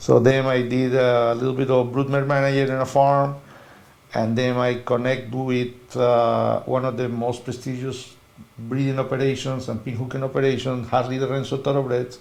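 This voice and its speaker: A man with a Spanish accent, medium pitch and a monotone, flat intonation at a moderate pace, with audible room echo and noticeable background noise. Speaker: veterinarian. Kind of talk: interview. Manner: halting non-native phrasing.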